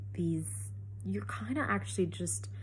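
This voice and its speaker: A woman speaks at a very deep, low pitch with vocal fry. Her pace is fairly slow, and the room echo is audible. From Canada. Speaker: cancer survivor vlogger. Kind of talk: personal testimony. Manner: conversational, many fillers.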